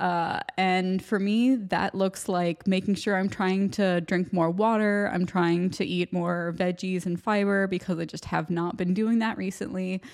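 A woman speaks in an ordinary speaking voice at medium pitch and moderate pace, her intonation fairly even, in a very clean recording with a silent background. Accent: American. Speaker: podcast host. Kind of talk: solo monologue pep talk. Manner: casual, chatty, rambling.

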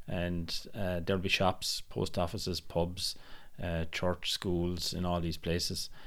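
A man's very deep, low voice with a Tipperary accent, flat and monotone at a very slow pace, in a very clean recording with a silent background. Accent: Irish (Tipperary). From Ireland, County Tipperary. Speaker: podcast co-host and tour guide. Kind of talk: casual chat.

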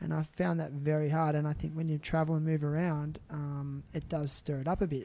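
A man with an Australian accent talks at a fairly quick pace in a fairly high, somewhat breathy voice with a dark, mellow tone. The recording is very clean, with a silent background. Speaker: podcast host. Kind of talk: casual interview chat.

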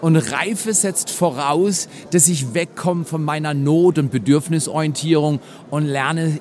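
A man with an animated tone and fairly high pitch, at a fairly slow pace with ordinary pitch variation, over noticeable background noise. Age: 60s. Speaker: pastor. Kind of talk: interview conversation. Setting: conference venue.

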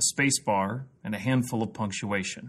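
A man with a Midwestern American accent speaks at a moderate pace in a medium pitch, his intonation lively against a quiet background. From US Midwest, Missouri (Jefferson City). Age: 30s. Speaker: pastor and podcast host. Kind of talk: scripted narration.

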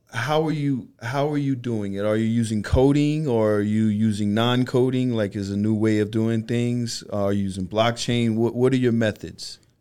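With a New York accent, a man speaks at a moderate pace with hardly any pauses. His tone is dark and mellow, his intonation fairly even. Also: medium pitch for a man. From Brooklyn, New York (Bed-Stuy). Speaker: radio producer and podcast co-host. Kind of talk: casual chat.

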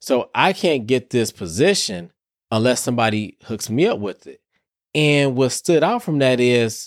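Over a very clean recording with a silent background, a man with an American accent and an unremarkable speaking voice talks at a fairly slow pace and medium pitch with lively intonation. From Detroit, US Midwest. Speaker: therapist and podcast host. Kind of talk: solo podcast monologue. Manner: casual, conversational.

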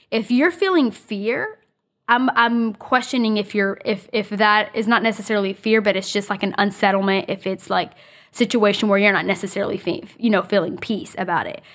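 At a fairly quick pace, a woman with a fairly high pitch talks in an ordinary speaking voice with ordinary pitch variation. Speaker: podcast host. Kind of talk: casual chat.

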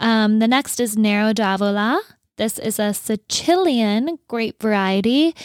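In a plain, everyday voice, a woman talks at a fairly high pitch with ordinary pitch variation, in a dry, close sound with no echo on a very clean recording with a silent background. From North Dakota, US. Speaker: podcast co-host. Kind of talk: casual chat. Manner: chatty, laughs often.

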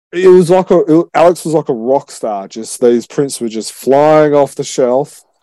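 With an Australian accent, a man speaks at a moderate pace. His fairly high voice has a dark, mellow tone, dry and close with no echo. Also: lively intonation, hardly any pauses. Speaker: podcast host. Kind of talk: casual chat.

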